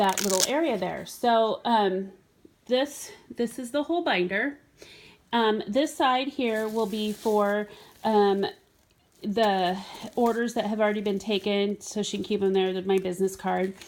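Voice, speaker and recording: Long, frequent pauses break up a woman's fairly slow speech. Her pitch is fairly high, with ordinary pitch variation. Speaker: direct sales consultant. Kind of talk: product demonstration. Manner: hesitant, many fillers.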